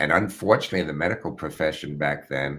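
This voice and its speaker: The speaker has an American accent and a voice with vocal fry. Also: man. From United States. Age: 70s. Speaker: retired prosecutor. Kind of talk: interview.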